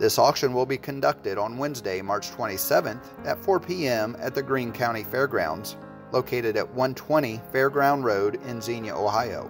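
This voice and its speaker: Music plays in the background as a man speaks with hardly any pauses. His pitch varies in an ordinary way. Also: medium pitch for a man, moderate pace. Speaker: real estate and auction company narrator. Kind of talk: real estate promotional narration.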